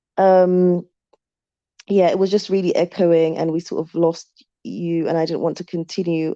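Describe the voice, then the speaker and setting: Dark and mellow in tone, the speaker talks with a London accent in a monotone, flat intonation, the sound dry and close with no echo and the background quiet. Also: woman. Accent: British English, London. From UK. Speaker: YouTuber. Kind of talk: live stream chat. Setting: live stream. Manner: halting.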